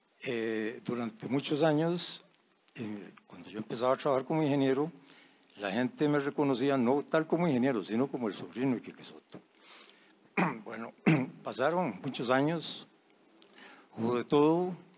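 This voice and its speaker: Lively in intonation, a man at medium pitch speaks at a moderate pace, his loudness swinging widely and long pauses coming often. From Costa Rica, Alajuela. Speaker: engineer. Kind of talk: anecdote telling. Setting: audience floor microphone.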